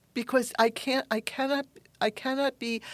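A woman in a New York accent, dry and close with no echo, on a very clean recording with a silent background. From New York City, Queens. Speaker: science fiction author and academic. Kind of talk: interview. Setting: studio.

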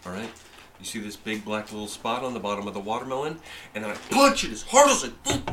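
Over noticeable background noise and audible room echo, a man with a fairly low pitch talks at a fairly quick pace, his pitch varying in an ordinary way. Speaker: podcast host. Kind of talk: casual chat. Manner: animated.

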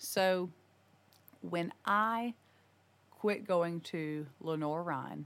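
Her pitch sits very deep and low. The woman talks with an American accent. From US South, North Carolina. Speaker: energy specialist, singer. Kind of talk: casual interview answers. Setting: studio with several hosts.

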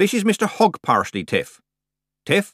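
Doing a put-on character voice, a man speaks at a high pitch with big pitch swings, a slightly husky edge and a fairly bright tone, at a fairly slow pace in a dry, close sound with no echo. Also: very clean recording, silent background.

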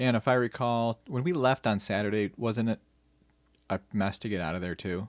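In an American accent, a plain, everyday voice moves at a moderate pace with ordinary pitch variation, the sound dry and close with no echo. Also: man, medium pitch for a man. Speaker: podcast co-host. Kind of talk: casual chat.

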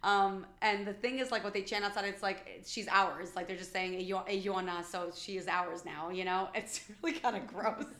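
A woman's medium-pitched voice with a New York accent, fairly even intonation, a moderate pace, hardly any pauses and audible room echo. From New York City (Bronx). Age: 40s. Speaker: podcast guest. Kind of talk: casual chat.

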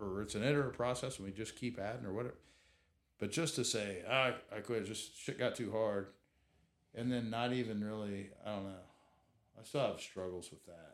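A man with an American accent talks at a fairly quick pace with ordinary pitch variation. He leaves long, frequent pauses. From Southeast Kansas. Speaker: entrepreneur. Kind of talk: casual chat.

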